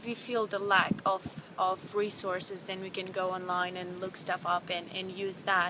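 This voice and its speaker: A woman with a non-native accent talks at a fairly slow pace in a medium pitch and a monotone, flat intonation. There is noticeable background noise. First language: not English. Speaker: vlogger. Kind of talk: casual vlog. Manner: halting, many fillers and repeats.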